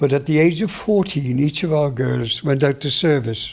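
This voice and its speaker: With a Welsh accent, a man at a medium pitch talks at a moderate pace over noticeable background noise. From Wales, Pembrokeshire (Saundersfoot). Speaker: local elder sharing memories. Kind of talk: oral history recollection.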